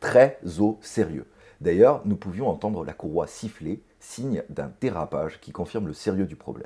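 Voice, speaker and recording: Big swings in loudness mark this man's dark, mellow voice, delivered at a moderate pace over a quiet background. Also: fairly low pitch for a man, lively intonation. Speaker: helicopter pilot vlogger. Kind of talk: explanatory vlog narration. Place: home room.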